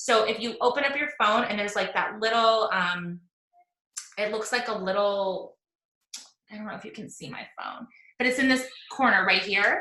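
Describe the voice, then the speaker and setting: A woman's fairly high voice, ordinary in pitch variation, with audible room echo. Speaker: online fitness coach and social media trainer. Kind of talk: live video training talk. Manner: fast; casual, filler-heavy.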